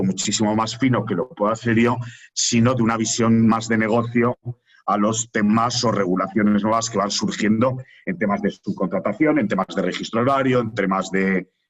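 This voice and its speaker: The speaker is a man with a strong Aragonese accent. He keeps a moderate pace and very even loudness. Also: medium pitch for a man, ordinary pitch variation. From Aragon, Spain. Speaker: HR executive and institute director. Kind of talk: webinar talk.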